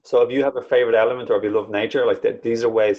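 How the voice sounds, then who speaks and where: A man is speaking. He has an Irish accent. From Ireland. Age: 30s. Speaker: spiritual wellbeing coach and YouTuber. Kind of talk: podcast interview. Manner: animated.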